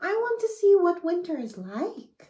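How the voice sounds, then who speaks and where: Here a woman uses a put-on character voice, squeaky and extremely high. She keeps a moderate pace. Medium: read story.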